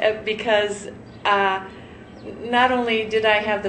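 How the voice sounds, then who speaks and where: A woman with a fairly high voice speaks fairly slowly in a monotone, flat way, amid noticeable background noise and audible room echo. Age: 60s. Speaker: cosmetic surgery patient, nurse. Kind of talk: interview testimonial. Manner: halting, many fillers.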